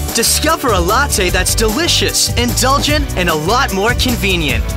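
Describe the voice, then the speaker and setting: Clear background music under a dry sound with no echo. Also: man, moderate pace. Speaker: voice actor. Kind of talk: TV commercial read. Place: booth.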